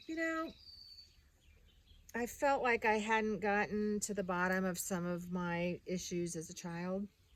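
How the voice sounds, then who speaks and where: The speech moves at a fairly slow pace with long, frequent pauses. Its intonation is lively. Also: woman, medium pitch for a woman. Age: 60s. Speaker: interior designer. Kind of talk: interview answer.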